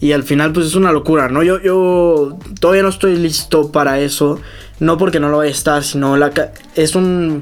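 In a normal speaking voice, a man with a fairly high pitch speaks at a moderate pace with fairly even intonation. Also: very even loudness. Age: 20s. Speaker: triathlete. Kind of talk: casual interview.

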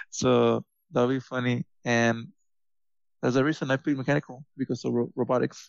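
With a dry, close sound and no echo, a man speaks at a medium pitch with little pitch movement and some vocal fry.

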